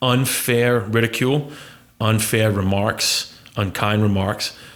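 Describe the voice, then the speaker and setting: A man's voice, medium in pitch with fairly even intonation, is heard against noticeable background noise. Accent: American. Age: 40s. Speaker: podcast host. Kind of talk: casual interview chat.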